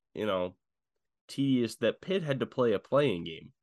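This man has an ordinary speaking voice at medium pitch and talks at a moderate pace. The sound is dry and close with no echo, over a quiet background. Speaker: sports podcast host. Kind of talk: casual sports chat.

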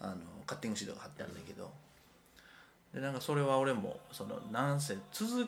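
Over noticeable background noise and audible room echo, a man with a fairly high pitch talks very fast, his pitch swinging very widely and his loudness rising and falling sharply, broken by long, frequent pauses. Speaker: artist. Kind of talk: casual chat. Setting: rented apartment room.

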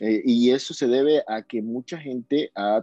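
A man's medium-pitched voice with a dark, mellow tone, a dry, close sound with no echo and a quiet background. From Ecuador, Guayaquil. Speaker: urban music singer. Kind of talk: interview. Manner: halting, many repetitions.

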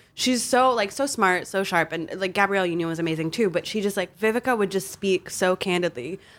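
With a plain, everyday voice, a woman talks at a fairly quick pace and medium pitch, with ordinary pitch variation and hardly any pauses. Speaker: music writer. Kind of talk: casual chat. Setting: studio.

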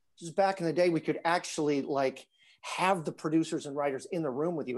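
A man with an American accent talks at a fairly quick pace and a fairly high pitch. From US Midwest, northern Illinois. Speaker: actor. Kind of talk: casual interview.

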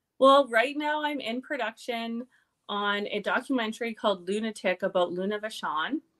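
In an American-free, Canadian accent, a woman with a plain, everyday voice speaks at a fairly high pitch and moderate pace with ordinary pitch variation, her sound dry and close with no echo on a very clean recording over a silent background. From Canada, small town in Alberta. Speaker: pro wrestler and burlesque dancer. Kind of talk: casual interview chat.

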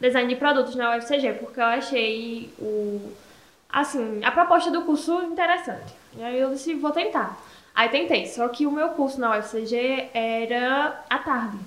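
A woman's high voice in a Paraíba accent, with ordinary pitch variation and audible room echo. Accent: northeastern Brazilian Portuguese (Paraíba). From Brazil, Paraíba (Esperança). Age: 20s. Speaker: entrepreneur, makeup shop owner. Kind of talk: casual interview.

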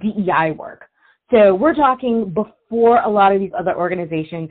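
Someone with an American accent talks at a fairly slow pace with lively intonation. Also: woman. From Virginia, US. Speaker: swim coach and researcher. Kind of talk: interview conversation.

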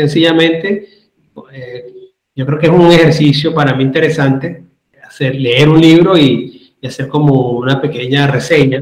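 A man with a fairly high voice talks at a fairly slow pace and fairly even intonation, with audible room echo around him. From Venezuela, Caracas. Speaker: writer and lawyer. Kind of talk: interview.

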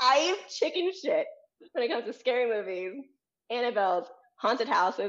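Speaking at a moderate pace with long, frequent pauses, a woman uses a high pitch and very wide pitch swings. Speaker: podcast guest. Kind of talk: casual chat.

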